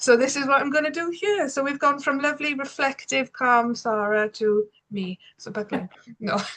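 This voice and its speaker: A bright, sharp voice in a Welsh accent at a moderate pace, with lively intonation and big swings in loudness. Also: woman, high pitch for a woman. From Wales. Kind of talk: webinar presentation. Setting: video call. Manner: animated.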